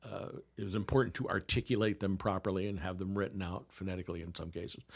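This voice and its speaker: Over a silent background in a very clean recording, a man speaks at a very fast pace. His pitch is fairly low and his intonation fairly even. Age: 60s. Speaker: theatre production worker and comedy announcer. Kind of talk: casual chat. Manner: halting.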